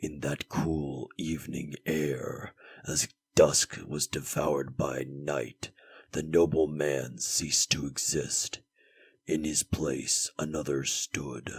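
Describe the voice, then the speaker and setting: A man's put-on character voice, very deep and low, monotone and flat, at a very slow pace, with a dry, close sound and no echo. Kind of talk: dark epic narration. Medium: machinima. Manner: grave, measured.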